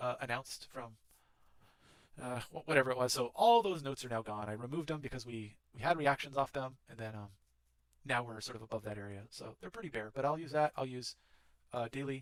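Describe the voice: At a fairly quick pace, a man speaks with medium pitch and lively intonation.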